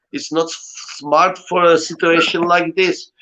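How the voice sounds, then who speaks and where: With a Czech accent, this man speaks at a high pitch. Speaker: cellist. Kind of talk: casual chat.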